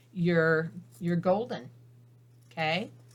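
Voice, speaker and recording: Here a woman speaks at a fairly slow pace. Her voice is somewhat breathy. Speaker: papercraft instructor. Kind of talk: tutorial.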